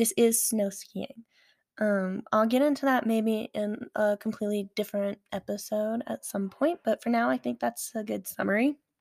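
A woman talks at a moderate pace and a fairly high pitch with ordinary pitch variation, in a dry, close sound with no echo. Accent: Southern US. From Alabama. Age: 20s. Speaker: podcast host and aerial skier. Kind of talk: casual monologue. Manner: animated.

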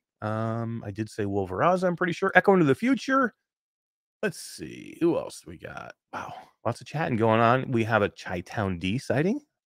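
A man talks at a moderate pace, his loudness swinging widely. The recording is very clean with a silent background and a dry, close sound without echo. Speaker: show host. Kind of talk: casual live talk show banter. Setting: live stream.

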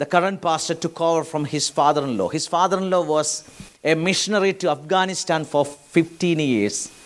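Here is a man with a high voice. His pitch varies in an ordinary way. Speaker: pastor. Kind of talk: sermon. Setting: church. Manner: animated, preacherly, urgent; conversational, mixes Malayalam with English phrases.

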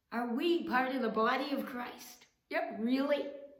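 With audible room echo, a woman speaks at a high pitch and a fairly slow pace, using ordinary pitch variation. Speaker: pastor. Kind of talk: sermon.

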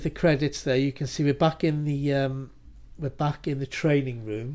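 On a very clean recording with a silent background, a man speaks with a British accent at a fairly high pitch. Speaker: podcast co-host. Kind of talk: casual chat. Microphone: new mic.

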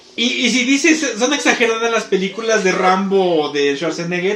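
Through audible room echo and noticeable background noise, a man with a Mexican accent speaks at a moderate pace in an animated tone with very wide pitch swings. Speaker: podcast host. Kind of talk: casual chat.

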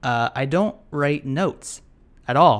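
On a very clean recording with a silent background, a man is speaking. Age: 20s. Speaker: podcast host. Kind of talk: casual chat. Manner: unscripted, with many fillers.

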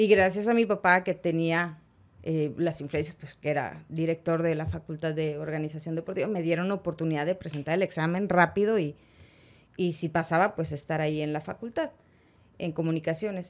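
With a normal speaking voice, a woman talks at a fairly quick pace, her fairly low pitch held to fairly even intonation. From Monterrey, Mexico. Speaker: sports broadcaster. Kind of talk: interview.

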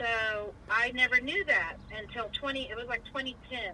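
A woman speaks with an American accent at a fairly high pitch. Noticeable background noise runs under her voice. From Virginia. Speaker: family member interviewed about family history. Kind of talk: casual family conversation.

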